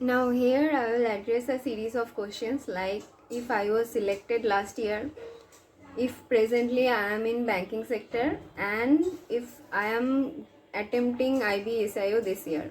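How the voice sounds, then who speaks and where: With a Bengali accent, a woman speaks at a fairly slow pace. Her voice is fairly high, with ordinary pitch variation. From India, Bengal. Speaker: government employee and exam-prep YouTuber. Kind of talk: casual Q&A vlog. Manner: hesitant with fillers.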